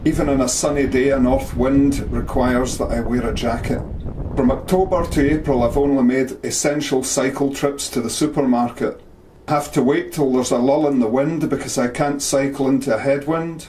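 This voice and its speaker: A man's monotone, flat delivery at a moderate pace, with noticeable background noise. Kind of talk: personal story narration.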